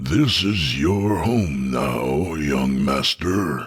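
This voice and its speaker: A man puts on a raspy character voice, pitched very deep and low. He speaks at a very slow pace with lively intonation. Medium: read story. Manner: calm, formal, deferential.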